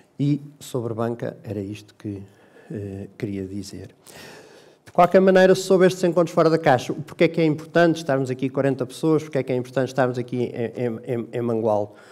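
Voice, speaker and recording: With lively intonation, a man talks fairly quickly. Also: quiet background. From Portugal. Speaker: bank executive; bank executive host. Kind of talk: formal speech. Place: hall. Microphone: headset.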